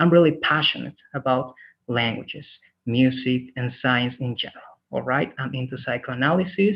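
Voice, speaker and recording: A man with a normal speaking voice, medium pitch, a moderate pace and ordinary pitch variation. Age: 30s. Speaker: English teacher. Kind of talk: online class introduction.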